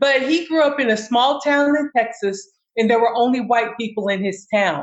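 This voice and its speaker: This woman has an ordinary speaking voice with an American accent and a fairly high pitch. She talks at a moderate pace with ordinary pitch variation. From US South, Kentucky. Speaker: navy veteran. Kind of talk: casual chat.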